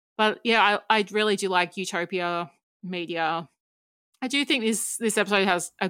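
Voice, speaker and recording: On a very clean recording with a silent background, a woman with an Australian accent talks at a moderate pace in a medium pitch, her bright, sharp tone carried by fairly even intonation. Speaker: writer and podcaster. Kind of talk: casual chat.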